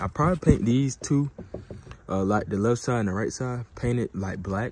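Talking at a fairly quick pace, a man sounds dry with no echo, over noticeable background noise. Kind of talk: casual vlog chat. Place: open country. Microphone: phone near.

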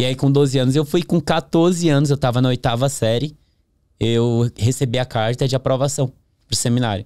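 Over a quiet background, a man speaks at medium pitch and a moderate pace, his tone dark and mellow, his loudness very even, and his pitch variation ordinary. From northern Brazil, interior of Pará (Capanema); Pará, Brazil. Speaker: podcast guest. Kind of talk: interview testimony. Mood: calm reflective storytelling. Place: studio. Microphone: studio mic.

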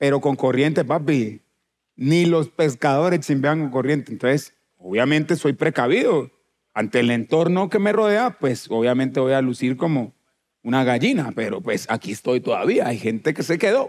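Lively intonation marks this man's delivery at a moderate pace. The background is quiet. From Colombia, Chocó. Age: 40s. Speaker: musician; talk show guest. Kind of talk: casual chat. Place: stage. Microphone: headset.

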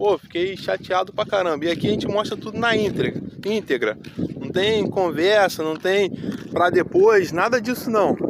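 Noticeable background noise surrounds a man speaking at a moderate pace with ordinary pitch variation, in a dry sound with no echo. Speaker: vlogger on a hike. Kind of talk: casual vlog chat. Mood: disappointed, upset. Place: waterside. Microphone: phone near.

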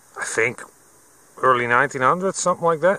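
A man with a bright, sharp tone and vocal fry swings his pitch very widely, the sound dry with no echo. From Netherlands. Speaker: metal detecting video maker. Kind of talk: vlog narration. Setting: outdoors in a field. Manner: frequent laughter. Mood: pleased, relaxed. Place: open country. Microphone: phone near.

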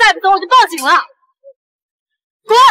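A woman uses a put-on character voice at an extremely high pitch, bright and sharp in tone. Her intonation is lively and her pace moderate.

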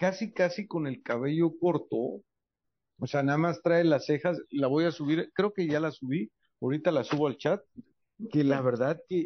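An unremarkable speaking voice from a man, fairly high in pitch with ordinary pitch variation, at a moderate pace, with a dry sound with no echo and a quiet background. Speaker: entertainment journalist panelist. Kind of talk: panel chat. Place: studio.

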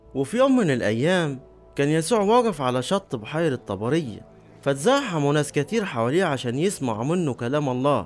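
Over background music, the voice keeps a very even loudness while its pitch swings very widely at a moderate pace. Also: man, fairly high pitch for a man. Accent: Upper Egyptian. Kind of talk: scripture reading.

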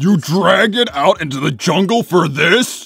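Doing a cartoonish character voice, a man talks at a moderate pace in a high pitch with lively intonation. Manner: gruff, blunt, easily flustered.

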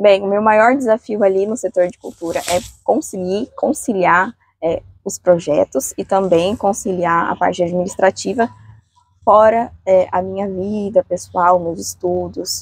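The recording is dry with no echo. A woman talks at a fairly slow pace with ordinary pitch variation. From Brazil. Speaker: culture sector coordinator and dance choreographer. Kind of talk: interview. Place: street. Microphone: lapel.

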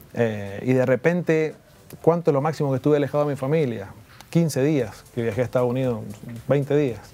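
At a fairly quick pace, a man speaks, his pitch shifting in an ordinary way. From Argentina, Mendoza; Argentina. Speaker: former tennis player. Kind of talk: interview. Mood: somber, recalling hard memories. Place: studio. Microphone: lapel.

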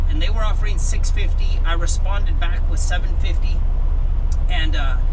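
There is loud noise behind the speaker. He is a man talking fairly quickly. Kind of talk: casual vlog chat. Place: car. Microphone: camera far.

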